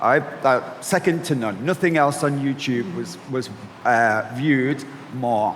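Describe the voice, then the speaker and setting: A man with a Mancunian accent speaks at a fairly slow pace and medium pitch. His pitch varies in an ordinary way, and there is noticeable background noise. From Manchester, northern England. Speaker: agency founder and panel moderator. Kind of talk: panel discussion.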